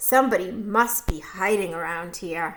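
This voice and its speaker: Putting on a raspy character voice, a woman speaks at a medium pitch and a moderate pace. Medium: read story.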